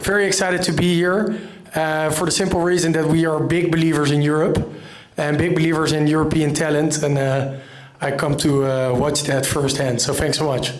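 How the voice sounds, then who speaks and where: A man with a Dutch accent and fairly high pitch speaks at a fairly quick pace, with fairly even intonation and very even loudness, amid noticeable background noise and audible room echo. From Netherlands. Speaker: investor, fund founder. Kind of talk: short speech to audience.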